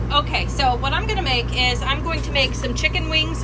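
A woman's voice over background music. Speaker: home cooking vlogger. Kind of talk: casual vlog chat. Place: kitchen. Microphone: phone near.

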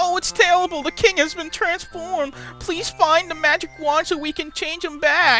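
Doing a put-on character voice at extremely high pitch, a woman speaks at a moderate pace with clear music in the background. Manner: frantic, urgent.

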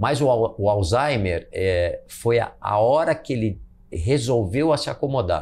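A man speaks very slowly, his intonation lively. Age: 50s. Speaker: marathon runner and businessman; interview guest. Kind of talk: casual chat. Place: home room. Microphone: lapel.

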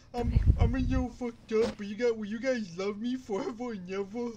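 Delivered at a moderate pace, this put-on character voice sits at a fairly high pitch.

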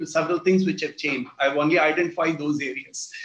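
A man with an Indian accent speaks amid audible room echo. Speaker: retired judge. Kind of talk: lecture. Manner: halting. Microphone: video call.

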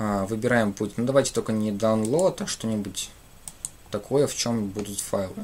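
This man talks at a moderate pace in a fairly low pitch, with ordinary pitch variation. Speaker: programming teacher; programming streamer. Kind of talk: live coding tutorial. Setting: livestream at computer. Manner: halting, many filler sounds. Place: home room.

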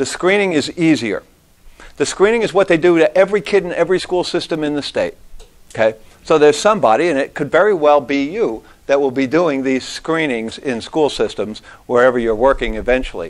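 A man with an unremarkable speaking voice talks at a fairly quick pace, his intonation lively. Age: 60s. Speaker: guest lecturer on audiology equipment. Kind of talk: lecture. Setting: classroom with students.

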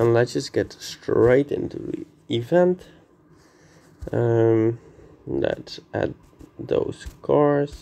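A man speaks quietly and very slowly. His speech has long, frequent pauses. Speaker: gaming YouTuber. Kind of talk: gameplay commentary. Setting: vacation room, indoors. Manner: quiet, subdued.

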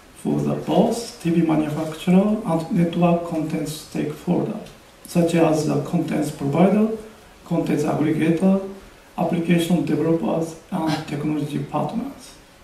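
A man speaks at a moderate pace with fairly even intonation. Room echo is audible. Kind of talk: press conference presentation. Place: hall. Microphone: podium.

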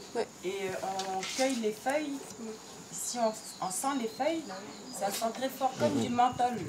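The speech moves at a very slow pace, broken by long, frequent pauses, with ordinary pitch variation. Noticeable background noise runs underneath. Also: woman. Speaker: youth exchange organizer. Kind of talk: casual instructions to group. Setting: outdoors. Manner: halting.

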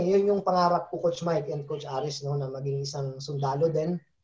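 A man speaks with a dark, mellow tone. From Philippines. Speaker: football coach and former national team player; football coach. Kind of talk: casual interview. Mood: relaxed, friendly. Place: home room. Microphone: video call.

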